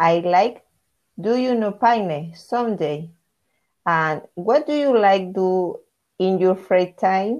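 A woman with a Spanish accent at a very slow pace, medium in pitch with lively intonation and long, frequent pauses. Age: 30s. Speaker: English language learner. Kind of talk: beginner practice dialogue. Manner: halting.

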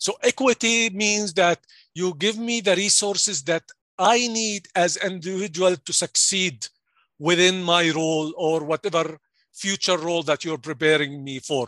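With an Arabic accent, a man speaks at a high pitch and a fairly slow pace, his tone bright and sharp. The sound is dry and close with no echo. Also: ordinary pitch variation. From Jordan. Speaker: pharmacy executive. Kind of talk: interview. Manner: halting.

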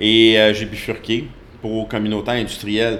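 The man speaks fairly slowly at a fairly low pitch. Room echo is audible. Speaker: strength coach. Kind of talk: interview.

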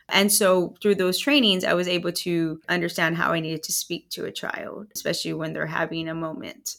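Speaking at a fairly quick pace with hardly any pauses, a woman with an American accent uses a fairly low pitch and ordinary pitch variation. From Texas, Rio Grande Valley (Hidalgo County). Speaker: juvenile court judge. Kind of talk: interview. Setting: in person, in the courthouse.

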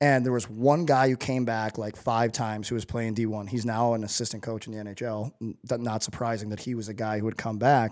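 In an American accent, a man speaks at a fairly quick pace with hardly any pauses, his medium-pitched voice monotone and flat. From US Midwest, St. Louis. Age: 30s. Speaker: former pro hockey player and personal trainer. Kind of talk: casual interview chat.

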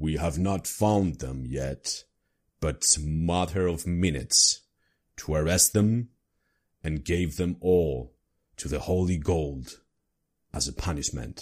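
A man puts on a character voice with a very deep, low pitch. He leaves long, frequent pauses in a very clean recording with a silent background. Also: fairly slow pace. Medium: actual play. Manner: pompous, menacing proclamation.

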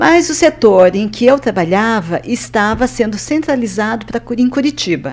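A woman speaks at a moderate pace in a fairly high voice with very wide pitch swings, over noticeable background noise. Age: 60s. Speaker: retired banker and skydiver. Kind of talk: interview.

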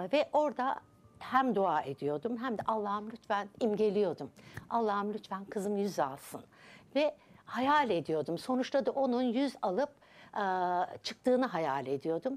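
The pitch swings very widely. Delivery comes at a fairly slow pace. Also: woman, fairly high pitch for a woman. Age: 60s. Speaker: subconscious transformation coach. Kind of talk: TV interview.

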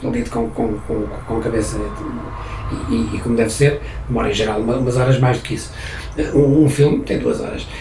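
Noticeable background noise and audible room echo accompany a man speaking at a moderate pace in a European Portuguese accent. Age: 60s. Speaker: musician and songwriter. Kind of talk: interview. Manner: halting, many repetitions.

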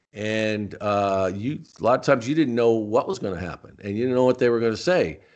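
A man speaks at a fairly quick pace in an American accent, using a normal speaking voice. His pitch is medium, and the background is quiet. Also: ordinary pitch variation. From Arizona, Tucson. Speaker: former wrestling announcer. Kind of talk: interview.

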